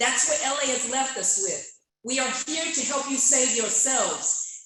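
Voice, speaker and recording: There is audible room echo as a woman speaks at a moderate pace in a high voice. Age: 60s. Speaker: community member at public comment. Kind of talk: public comment speech. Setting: public meeting, speaking at a microphone. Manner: impassioned.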